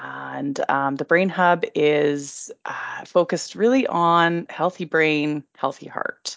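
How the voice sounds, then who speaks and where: A woman speaks with a Canadian accent at a very slow pace. She hardly pauses at all. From Alberta, Canada (Red Deer). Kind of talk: interview. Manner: hesitant with fillers.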